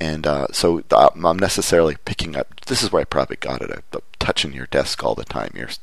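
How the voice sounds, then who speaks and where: The man talks at a fairly quick pace. Noticeable background noise is present. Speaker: podcast host. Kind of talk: casual chat. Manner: halting.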